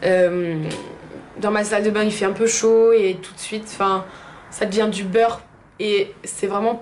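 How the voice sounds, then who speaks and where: A woman with a fairly high voice speaks over noticeable background noise, with audible echo in the room. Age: 20s. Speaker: beauty vlogger. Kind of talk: product review. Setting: bathroom. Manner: casual with frequent hesitations.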